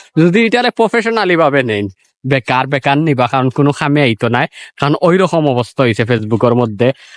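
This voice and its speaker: With a Sylheti accent, a man talks at a fairly high pitch with very wide pitch swings, his dry, close sound free of echo on a very clean recording with a silent background. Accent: Sylheti Bengali. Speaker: vlogger. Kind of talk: casual vlog. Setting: outdoors by a river.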